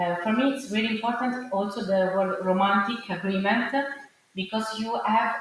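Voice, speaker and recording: A woman's voice, with ordinary pitch variation, comes through noticeable background noise and audible room echo. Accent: Italian. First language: Italian. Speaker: arts curator and producer. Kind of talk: panel discussion. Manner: halting, many fillers.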